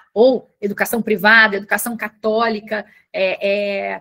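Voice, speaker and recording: Fairly high in pitch, a woman's voice has a bright, sharp tone. She speaks at a fairly slow pace. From southern Brazil, Porto Alegre. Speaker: communications manager, former teacher. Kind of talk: panel talk. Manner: halting, many fillers.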